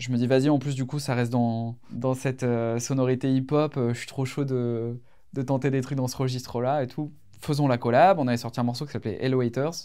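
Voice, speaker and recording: This man talks at a fairly quick pace with a dark, mellow tone, a medium pitch and monotone, flat intonation. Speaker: singer. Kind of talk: casual interview. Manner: hesitant, many fillers.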